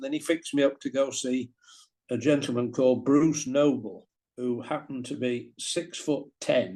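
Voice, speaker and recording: A man with a Yorkshire accent, dark, mellow tone, monotone, flat intonation and a fairly slow pace. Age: 70s. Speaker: former professional cricketer. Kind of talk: interview storytelling. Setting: video call.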